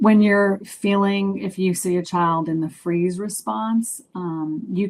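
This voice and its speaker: A woman talks at a fairly slow pace in a plain, everyday voice. Her pitch is fairly low, with ordinary pitch variation. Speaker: children's book author presenting a webinar. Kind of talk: webinar presentation. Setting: online webinar.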